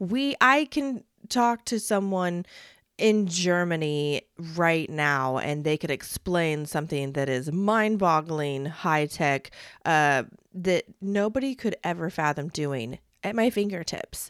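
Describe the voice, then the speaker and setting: Very clean and silent in the background, with a dry, close sound and no echo, a woman speaks very slowly in a fairly low voice with lively intonation. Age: 40s. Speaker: podcast host. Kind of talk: solo podcast monologue.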